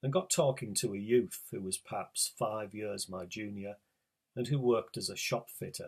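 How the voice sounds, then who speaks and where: This man has a northeast English accent and a fairly low pitch. He speaks at a moderate pace. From northeast England. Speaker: writer. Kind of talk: reading aloud.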